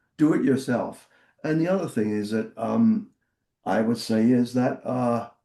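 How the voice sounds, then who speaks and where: A man with a southern English accent talks at a fairly slow pace in a dark, mellow tone. His pitch variation is ordinary. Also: medium pitch for a man. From Portsmouth, southern England. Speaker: former rock singer and record executive. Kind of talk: interview. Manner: halting.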